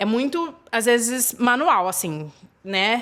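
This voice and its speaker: A woman's fairly high voice, with ordinary pitch variation, comes across on a very clean recording with a silent background. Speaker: YouTuber, expat life vlogger. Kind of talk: casual vlog talk to camera.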